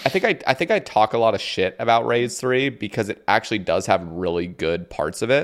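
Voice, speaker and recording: In an American accent, a man talks at a fairly quick pace with hardly any pauses. His medium-pitched voice moves through very wide pitch swings. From US Pacific Northwest. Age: 20s. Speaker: podcast host. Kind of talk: casual chat. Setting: video call.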